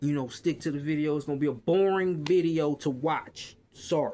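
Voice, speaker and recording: A man with a strong Southern US accent speaks at a moderate pace, his fairly high voice animated throughout. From US South. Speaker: retail worker and vlogger. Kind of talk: casual rant. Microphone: quiet, hard to hear.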